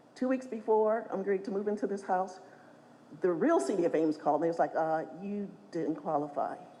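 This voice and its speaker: A woman speaks at a fairly quick pace with lively intonation. There is noticeable noise behind her. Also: medium pitch for a woman. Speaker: honored mother of a pro basketball player. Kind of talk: speech at a gala event. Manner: fast.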